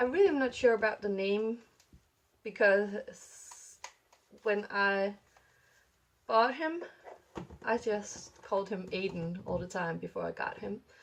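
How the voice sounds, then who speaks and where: Mumbling at a moderate pace, a woman speaks at medium pitch with ordinary pitch variation. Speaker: doll hobby vlogger. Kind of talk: casual vlog chat. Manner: mumbling, many fillers.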